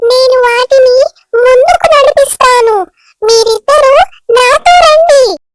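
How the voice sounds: A cartoonish character voice that sounds female, pitched extremely high for a woman. It moves at a very slow pace.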